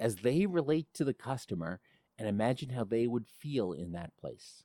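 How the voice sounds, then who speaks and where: On a very clean recording with a silent background and a dry, close sound with no echo, a man speaks at medium pitch and moderate pace in a dark, mellow tone with very wide pitch swings. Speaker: presentation coach. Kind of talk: podcast talk on public speaking.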